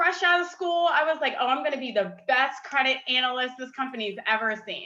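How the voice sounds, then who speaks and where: A woman's raised, projected voice, bright and sharp, high in pitch with ordinary variation, at a moderate pace. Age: 20s. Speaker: community leader and former city council candidate. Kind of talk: panel discussion. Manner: casual, with many fillers.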